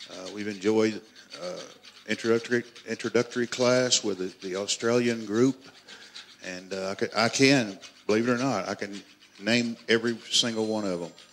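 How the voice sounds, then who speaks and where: Talking at a moderate pace with long, frequent pauses, a man with a South Arkansas accent keeps a medium pitch and fairly even intonation amid big swings in loudness. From US South, South Arkansas. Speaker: master bladesmith. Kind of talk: live demonstration. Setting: workshop with live audience.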